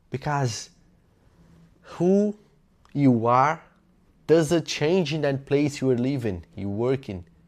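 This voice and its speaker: A man with a Portuguese accent speaks very slowly in a fairly high voice, his intonation lively and his speech broken by long, frequent pauses. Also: very clean recording, silent background. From Brazil. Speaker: self-improvement YouTuber. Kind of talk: motivational talk. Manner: halting, with self-corrections.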